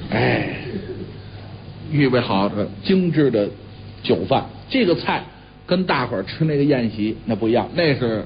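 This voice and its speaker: Light background noise sits under a man talking at a fairly slow pace with long, frequent pauses. His medium-pitched voice has lively intonation. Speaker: pingshu storyteller; storyteller. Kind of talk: traditional storytelling performance. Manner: soft, murmuring, soothing. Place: studio.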